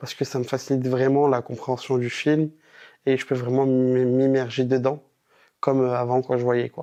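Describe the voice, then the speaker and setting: A man speaks at a moderate pace and a medium pitch. His intonation stays monotone and flat. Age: 20s. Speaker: visually impaired moviegoer, university student. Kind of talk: testimony interview. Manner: casual, with hesitations.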